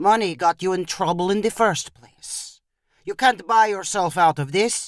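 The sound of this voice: Quiet background behind an unforced reading voice, its pitch varying in an ordinary way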